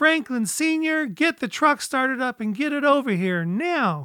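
A shrill, high-pitched put-on character voice at a moderate pace, on a very clean recording with a silent background. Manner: urgent calling out.

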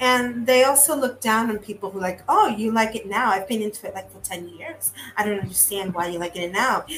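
With noticeable background noise behind her, a woman speaks fairly quickly at a fairly high pitch with ordinary pitch variation, big swings in loudness and hardly any pauses. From Puerto Rico. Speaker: childhood friend of the host, fan. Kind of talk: casual chat.

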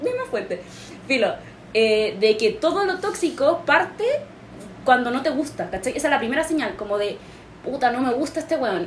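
A woman with a Chilean accent and a high voice speaks at a moderate pace, with very wide pitch swings, long, frequent pauses, and noticeable background noise. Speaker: podcast host. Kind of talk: casual chat.

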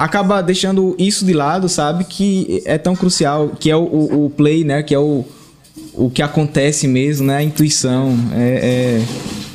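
Using a normal speaking voice, a man talks at a fairly slow pace, fairly high in pitch with ordinary pitch variation. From Sergipe, Brazil. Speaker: band drummer. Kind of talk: casual interview chat. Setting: small studio.

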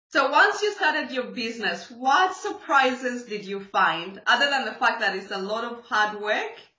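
With hardly any pauses, a woman speaks at a moderate pace in a high pitch with very wide pitch swings and audible room echo. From Zambia. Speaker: podcast host. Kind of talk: casual interview.

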